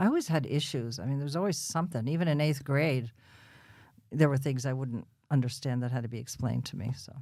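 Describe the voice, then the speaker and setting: With a New Jersey accent, a woman talks at a fairly quick pace in a very deep, low voice with a dark, mellow tone, ordinary pitch variation, big swings in loudness, and long, frequent pauses. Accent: New Jersey American. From Bayonne, New Jersey. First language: Russian. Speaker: podcast guest. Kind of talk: interview. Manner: casual, chatty.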